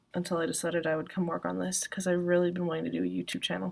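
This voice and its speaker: A soft-spoken woman. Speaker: vlogger and self-published author. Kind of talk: casual solo vlog. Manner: soft-spoken, speaks quietly; many filler words, ums and likes.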